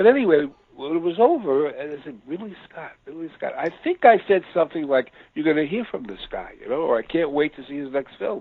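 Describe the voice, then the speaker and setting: Lively in intonation and big swings in loudness mark this American accent, delivered at a fairly quick pace. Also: man, high pitch for a man. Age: 70s. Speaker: film biographer. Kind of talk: interview. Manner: hesitant, many fillers.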